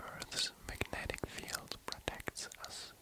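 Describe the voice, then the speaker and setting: A man is whispering at a very slow pace. Noticeable background noise runs underneath. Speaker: ASMR artist. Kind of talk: ASMR sleep reading of space facts. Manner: soft-spoken, whispered.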